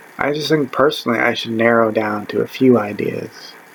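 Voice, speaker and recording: A man speaks over noticeable background noise. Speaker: vlogger. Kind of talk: casual monologue. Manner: rambling, hesitant; loud.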